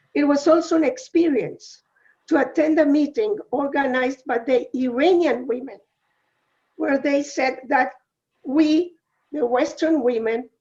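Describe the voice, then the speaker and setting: With a Uruguayan accent, a woman speaks in a high, dark and mellow voice at a fairly slow pace with ordinary pitch variation. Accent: non-American, Uruguayan Spanish. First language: Spanish. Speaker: women's organization UN representative. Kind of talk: webinar talk.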